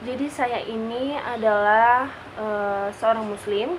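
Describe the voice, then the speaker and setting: There is noticeable background noise as a woman speaks with fairly even intonation. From Jakarta, Indonesia. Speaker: university student. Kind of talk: class assignment vlog presentation.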